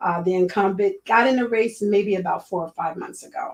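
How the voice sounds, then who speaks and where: A woman uses a normal speaking voice, her medium pitch showing ordinary variation as she talks at a moderate pace. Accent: American. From Miami, Florida. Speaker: school board candidate, educator. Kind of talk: interview.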